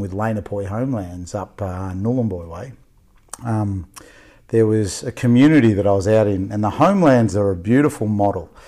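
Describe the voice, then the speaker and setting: With an Australian accent, a man talks at a moderate pace in a dark, mellow tone and a fairly low pitch. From Victoria, Australia (Melbourne outskirts). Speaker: youth worker. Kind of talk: casual interview. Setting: podcast interview.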